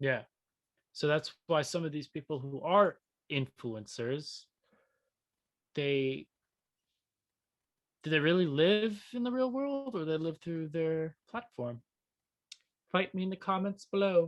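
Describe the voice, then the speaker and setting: The sound is dry and close with no echo as a man with an American accent speaks at a fairly slow pace, leaving long, frequent pauses. His pitch is fairly high and his intonation lively. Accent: occasional. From New York. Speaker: podcast co-host. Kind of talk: casual chat.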